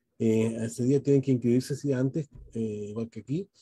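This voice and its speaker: In a dry recording with no echo and a quiet background, a man speaks in a dark, mellow, somewhat breathy tone with ordinary pitch variation. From Chile. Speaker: dentist and event moderator; webinar host, moderator. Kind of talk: webinar moderation. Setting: video call. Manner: hesitant, many fillers. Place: home room. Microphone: video call.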